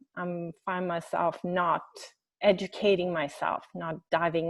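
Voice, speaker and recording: A woman speaks with a Swedish accent at a fairly low pitch. The sound is dry and close, with no echo. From Sweden. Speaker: webinar participant. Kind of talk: question in online group meeting. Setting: video call. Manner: halting.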